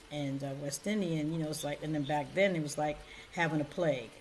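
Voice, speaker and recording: The speaker, with an American accent and ordinary pitch variation, is heard with audible room echo. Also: woman. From Connecticut, New Haven. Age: 60s. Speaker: domestic violence advocate. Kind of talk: testimony.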